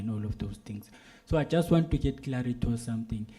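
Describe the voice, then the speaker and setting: A man speaks at a fairly quick pace. His tone is dark and mellow, and somewhat breathy. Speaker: civil society delegate. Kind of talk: question from the floor at a policy meeting. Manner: halting, many fillers and repeats.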